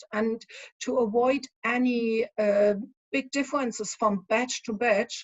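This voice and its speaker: Delivery is fairly unhurried. The melody holds fairly level throughout. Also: woman, fairly high pitch for a woman. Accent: strong German. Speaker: spirits consultant. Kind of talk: conference talk. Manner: hesitant, many fillers.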